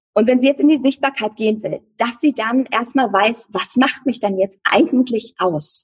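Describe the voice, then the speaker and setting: In a dry, close sound with no echo, a woman with a fairly high pitch talks at a moderate pace, hardly pausing and using ordinary pitch variation. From northern Germany (Eckernförde, Baltic coast). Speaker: photographer. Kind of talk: interview.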